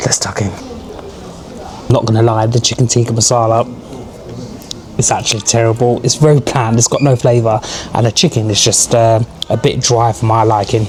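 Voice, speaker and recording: Over noticeable background noise, a man with a medium pitch speaks at a fairly quick pace with long, frequent pauses, very even loudness and flat, monotone intonation. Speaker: travel vlogger. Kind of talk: travel vlog. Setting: airport lounge.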